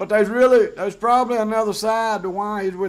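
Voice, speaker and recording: A man speaks at a very fast pace with a Southern US accent. His pitch is high. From US South. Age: 50s. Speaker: YouTuber. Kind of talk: casual vlog monologue. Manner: conversational with fillers.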